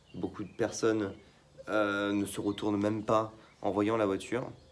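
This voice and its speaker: A man speaks very slowly in a fairly low pitch, with noticeable background noise behind him. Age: 18. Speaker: car YouTuber. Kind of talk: casual vlog talk to camera. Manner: hesitant, many fillers.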